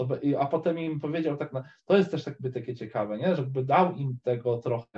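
His somewhat breathy voice moves at a fairly quick pace. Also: fairly high pitch for a man, ordinary pitch variation. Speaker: caller. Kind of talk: casual faith conversation. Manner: halting.

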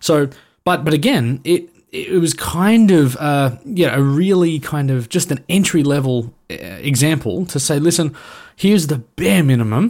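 A man's fairly high-pitched voice with lively intonation at a fairly slow pace. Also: very clean recording, silent background. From Australia. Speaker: gaming video creator. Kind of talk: casual chat.

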